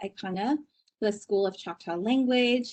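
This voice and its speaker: A woman with an ordinary speaking voice talks at a fairly high pitch, her intonation fairly even. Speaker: research associate, host. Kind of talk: introduction of a guest.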